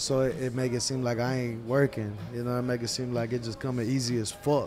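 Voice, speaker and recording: Music can be heard behind the voice. The speaker is a man with a fairly quick pace. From Texas, Bay City, Matagorda County. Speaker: rapper. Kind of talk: interview. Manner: slurred together; casual.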